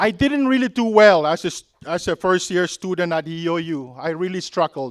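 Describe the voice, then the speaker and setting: A man's high voice with lively intonation and a Micronesian accent, in dry, close sound with no echo. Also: moderate pace, very clean recording, silent background. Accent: Micronesian (Pohnpeian) English. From Micronesia (Pohnpei). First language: Pohnpeian. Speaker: commencement keynote speaker, alumnus. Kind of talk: commencement speech. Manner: halting, with fillers.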